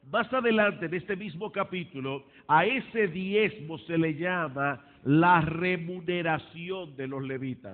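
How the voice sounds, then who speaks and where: Pitched high, a man speaks at a fairly slow pace. His pitch variation is ordinary. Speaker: pastor. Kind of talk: sermon.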